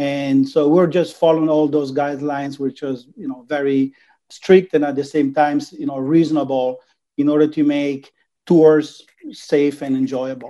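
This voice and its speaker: This voice has an Italian accent and a dark, mellow tone. It moves at a moderate pace with monotone, flat intonation. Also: man, fairly high pitch for a man. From Italy, Venice. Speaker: travel company executive. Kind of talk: interview. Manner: halting.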